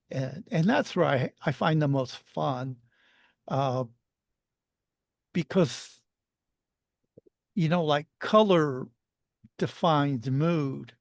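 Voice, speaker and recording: Against a quiet background, a man speaks at a very slow pace with long, frequent pauses. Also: fairly high pitch for a man, ordinary pitch variation. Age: 60s. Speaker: author and artist. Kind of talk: casual interview chat. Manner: halting, many false starts.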